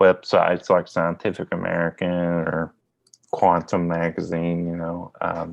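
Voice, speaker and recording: Here a man speaks at a very slow pace. His pitch is very deep and low. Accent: Kentucky. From US South, southeast Kentucky. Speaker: magazine editor and publisher. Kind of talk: podcast interview.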